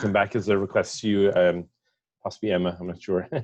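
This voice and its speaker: A man talks in a fairly low pitch with an Irish accent. The background is quiet. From Ireland. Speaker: software industry representative. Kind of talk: self-introduction. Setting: video call. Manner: halting.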